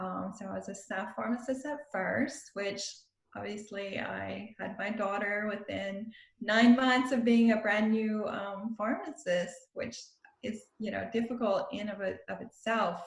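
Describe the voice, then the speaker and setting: Speaking at a fairly slow pace with a strong Louisiana accent, a woman uses a fairly high pitch, ordinary pitch variation and vocal fry. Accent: Cajun Louisiana accent, strong. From South Louisiana, Cajun country. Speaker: pharmacist and style coach. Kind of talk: podcast interview.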